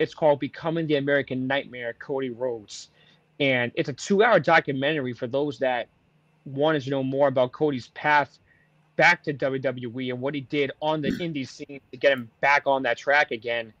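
This is an unremarkable speaking voice with fairly even intonation and a moderate pace. The sound is dry and close, with no echo. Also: man, fairly high pitch for a man. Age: 20s. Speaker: wrestling podcast host. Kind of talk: casual chat.

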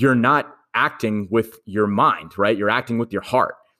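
With a New York accent, a man speaks at a medium pitch in a very clean recording with a silent background. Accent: New York American. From New York, Queens. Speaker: finance influencer and comedian. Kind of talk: casual interview chat.

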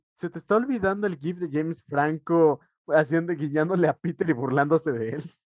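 A man speaks with a Mexican accent at a fairly high pitch and a fairly quick pace. The recording is dry and close, with no echo. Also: ordinary pitch variation. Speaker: podcast co-host. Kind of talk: casual chat.

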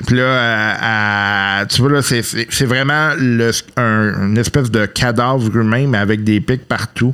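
Very slowly and at very even loudness, a man with a Quebec accent speaks in a bright, sharp tone with fairly even intonation. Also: medium pitch for a man. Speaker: game master of a tabletop role-playing podcast. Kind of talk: tabletop role-play narration. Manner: halting.

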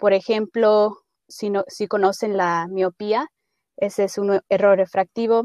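Spoken at a very slow pace with fairly even intonation, the voice has a dry, close sound with no echo. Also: woman, medium pitch for a woman. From Idaho, raised by Mexican parents (born in Guanajuato). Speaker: optometry student. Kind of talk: interview.

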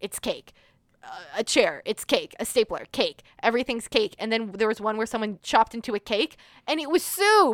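A woman with a plain, everyday voice and a fairly high pitch speaks at a moderate pace. The very clean recording has a silent background and a dry, close sound with no echo. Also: lively intonation. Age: 20s. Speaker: podcast co-host. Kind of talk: casual chat.

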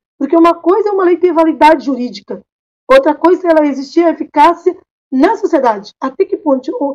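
At a fairly quick pace, a woman speaks at an extremely high pitch with lively intonation. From Cape Verde. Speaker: lawyer. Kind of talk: panel discussion.

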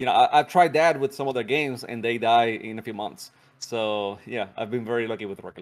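With a Spanish accent, a man talks at a very fast pace at medium pitch, his loudness swinging widely while his pitch varies in an ordinary way. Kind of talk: casual interview chat. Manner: laughs often, casual.

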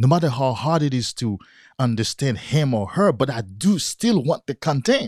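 A man with a non-native accent speaks at a medium pitch with lively intonation and a somewhat breathy voice. The recording is very clean, with a silent background and a dry, close sound with no echo. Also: moderate pace. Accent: non-native accent, English as third language. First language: not English. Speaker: podcast host, motivational speaker. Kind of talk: solo motivational talk. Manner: earnest, repetitive, motivational.

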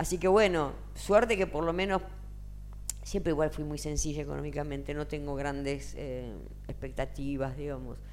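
A woman keeps a moderate pace, her words carrying audible room echo. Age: 60s. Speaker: singer and singing teacher. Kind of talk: interview.

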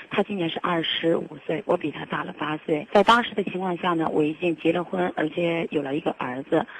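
Fairly quick speech from a woman with a fairly low pitch and ordinary pitch variation, over noticeable background noise. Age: 30s. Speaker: caller. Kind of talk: call-in advice confession. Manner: halting.

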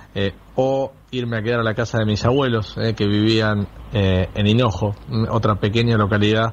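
The voice keeps fairly even intonation and very even loudness. There is noticeable background noise. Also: man. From Olavarría, Buenos Aires province. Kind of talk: recorded message.

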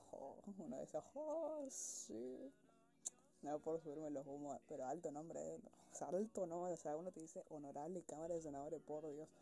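Her pitch is very deep and low. The woman talks at a moderate pace with ordinary pitch variation. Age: 20s. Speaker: student. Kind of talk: casual monologue. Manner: chatty, informal.

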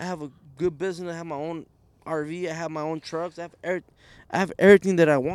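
A high-pitched man speaks very fast in a Spanish accent. His intonation is monotone and flat, while his loudness swings widely. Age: 20s. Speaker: guest, family business owner. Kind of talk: casual chat.

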